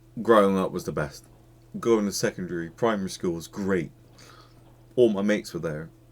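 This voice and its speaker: A man with an English accent speaks at a fairly quick pace in a fairly low pitch. His pitch variation is ordinary, and he leaves long, frequent pauses. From England. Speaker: YouTube reactor. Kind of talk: video reaction commentary. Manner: animated.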